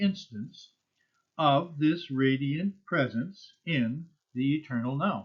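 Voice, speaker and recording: This man's voice sits fairly high and sounds somewhat breathy. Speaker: memorial tribute speaker. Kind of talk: spoken tribute. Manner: formal.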